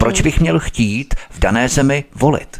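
A man talks at a moderate pace. Noticeable background noise accompanies him. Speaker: radio host. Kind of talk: talk radio hosting. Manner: formal.

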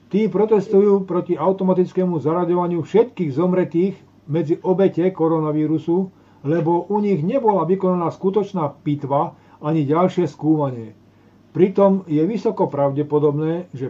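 Moving at a moderate pace, a man speaks at a high pitch with ordinary pitch variation. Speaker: talk show host. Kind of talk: reading aloud. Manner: halting over technical words.

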